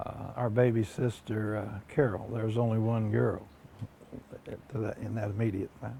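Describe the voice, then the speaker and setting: A man's fairly low voice with an American accent, fairly even intonation and a moderate pace over noticeable background noise. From southeastern Ohio, US. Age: 60s. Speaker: oral history interviewee. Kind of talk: oral history interview. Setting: at his home. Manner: halting, many fillers.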